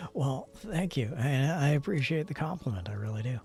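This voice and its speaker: This man's voice is fairly high-pitched and somewhat breathy, with lively intonation. His tone is relaxed. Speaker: streamer. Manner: relaxed, conversational.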